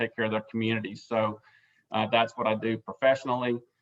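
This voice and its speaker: With an Alabama accent, a man speaks very fast at a medium pitch. His intonation stays monotone and flat. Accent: Southern US (Alabama). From South Alabama. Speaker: board chairman. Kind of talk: meeting chair introduction. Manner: halting, many fillers.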